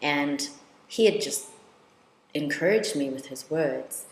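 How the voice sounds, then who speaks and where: Over noticeable background noise, a woman with a very deep, low voice talks at a fairly slow pace. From South Africa, Soweto. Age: 30s. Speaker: law lecturer and researcher. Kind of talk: personal testimony.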